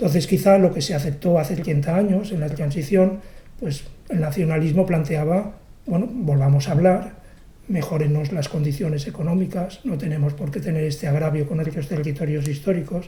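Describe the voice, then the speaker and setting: Against audible room echo, a man speaks at a fairly high pitch and a moderate pace, with ordinary pitch variation. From Catalonia, Barcelona. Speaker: poet. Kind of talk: interview. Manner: halting.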